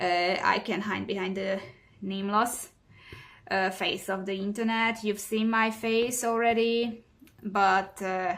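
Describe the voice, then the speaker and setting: A woman with a central European accent speaks at a fairly slow pace in a monotone, flat intonation. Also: medium pitch for a woman. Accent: non-native central European English. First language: neither English nor German. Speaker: cross-stitch hobby vlogger. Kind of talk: casual craft vlog monologue. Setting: home recording. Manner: halting, many fillers.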